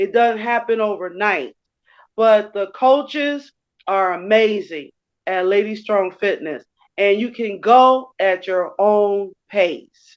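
A woman with a medium pitch speaks at a very slow pace. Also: ordinary pitch variation. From Chicago, west side. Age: 60s. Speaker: gym member, transit driver. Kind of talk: casual interview. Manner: hesitant, many fillers.

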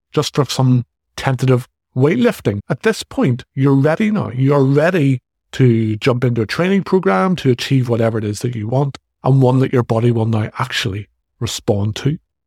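A man with a Northern Irish accent talks at a moderate pace and a medium pitch, his intonation lively. His voice is somewhat breathy, and the sound is dry and close with no echo. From Northern Ireland. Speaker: fitness coach and podcast host. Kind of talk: solo podcast monologue.

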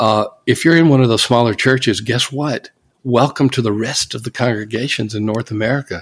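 A man with a normal speaking voice talks with fairly even intonation. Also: medium pitch for a man, fairly quick pace. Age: 60s. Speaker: church consultant and author. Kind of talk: interview.

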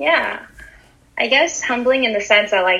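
A woman speaks at a moderate pace with a Montreal accent and ordinary pitch variation. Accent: Montreal English, Canadian. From Montreal, Canada. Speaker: fashion and sneaker enthusiast. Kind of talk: casual interview.

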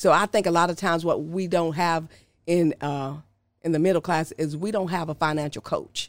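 Fairly low pitch for a woman, an ordinary speaking voice, fairly even intonation at a moderate pace, on a very clean recording with a silent background. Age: 50s. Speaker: financial advisor, former respiratory therapist. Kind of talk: casual interview, explaining finances.

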